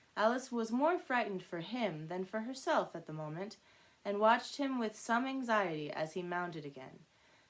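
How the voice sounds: With lively intonation, the speaker uses a natural reading voice.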